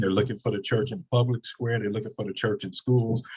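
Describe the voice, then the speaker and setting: Somewhat breathy, this man speaks at a medium pitch. His intonation stays fairly even. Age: 60s. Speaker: pastor. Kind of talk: panel discussion.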